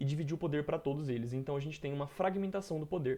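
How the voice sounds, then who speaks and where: This man's voice has a dark, mellow tone and fairly high pitch, with ordinary pitch variation. His background is quiet. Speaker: history teacher. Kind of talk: lecture. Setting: recorded video lesson. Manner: casual; fast.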